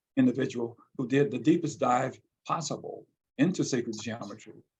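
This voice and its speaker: A man with a medium pitch talks at a fairly quick pace in a somewhat breathy voice. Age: 70s. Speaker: visual artist and poet. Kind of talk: interview. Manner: halting.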